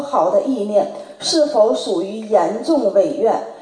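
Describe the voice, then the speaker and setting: A woman talks at a very slow pace. Noticeable background noise runs under her voice. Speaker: representative of a Buddhist study group asking questions. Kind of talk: reading prepared questions aloud.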